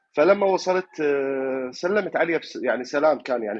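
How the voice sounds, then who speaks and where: Lively intonation runs through this man's moderately paced speech. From Iraq, Fallujah. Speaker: caller. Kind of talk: dream recounting on call-in show. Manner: halting, many fillers.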